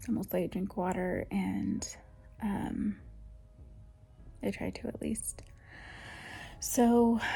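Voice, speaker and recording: A soft-spoken woman talks with long, frequent pauses. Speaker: lifestyle vlogger. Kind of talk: casual vlog chat.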